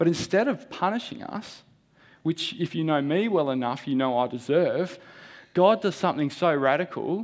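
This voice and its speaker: The intonation is lively. The speaker has an Australian accent. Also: man. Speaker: lay preacher. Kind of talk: sermon. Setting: church. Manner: halting.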